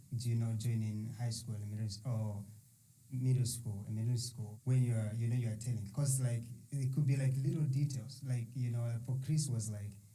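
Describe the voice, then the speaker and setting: Spoken with a strong non-native accent at a moderate pace, the fairly even delivery comes through noticeable background noise and audible room echo. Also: man, medium pitch for a man. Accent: thick foreign accent, still noticeable. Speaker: podcast host. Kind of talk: casual interview conversation.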